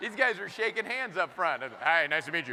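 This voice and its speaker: A man speaks in a raised, projected voice at a fairly quick pace over noticeable background noise. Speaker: motivational speaker; improvisational humorist. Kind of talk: keynote speech to live audience. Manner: upbeat, humorous.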